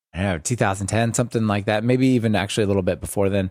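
With the background silent and the recording very clean, a man is talking. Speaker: podcaster and Python expert. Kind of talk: casual interview chat. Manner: warm, welcoming.

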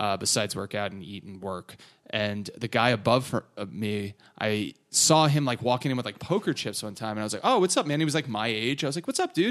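A normal speaking voice with an American accent, lively intonation and a fairly quick pace, in a very clean recording with a silent background. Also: man, medium pitch for a man. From northern New Jersey. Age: 30s. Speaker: comedian and podcaster. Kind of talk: casual chat.

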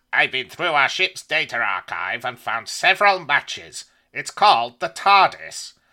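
This is a put-on character voice. The recording is very clean with a silent background. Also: man, high pitch for a man, moderate pace. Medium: read story. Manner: explanatory, deferential.

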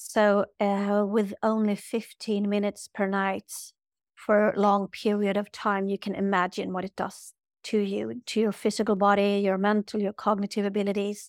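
A woman of medium pitch speaks with a Swedish accent in a flat monotone at a moderate pace. The recording is very clean with a silent background, dry and close with no echo. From Sweden. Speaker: yoga teacher and spiritual healer. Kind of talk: interview.

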